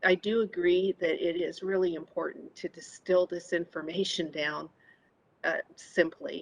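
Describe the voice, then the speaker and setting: A woman's soft-spoken voice, fairly low in pitch, at a fairly slow pace, with a dry, close sound and no echo. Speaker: committee member. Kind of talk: public meeting discussion. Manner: halting.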